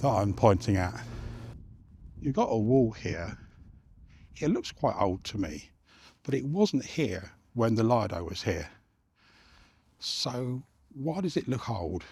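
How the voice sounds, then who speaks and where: A somewhat breathy man speaks at a medium pitch and a fairly slow pace, with long, frequent pauses. His pitch swings very widely, and the recording is very clean with a silent background. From southern England. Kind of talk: casual talk to camera. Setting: outdoors. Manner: mumbling.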